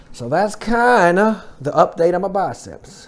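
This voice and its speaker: The man's pitch swings very widely as he talks. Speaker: fitness vlogger. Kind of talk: casual vlog update. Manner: fast; halting.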